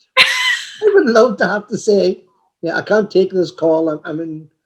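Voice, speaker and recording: Moderately paced male speech with ordinary pitch variation. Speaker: interview host. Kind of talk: interview questions.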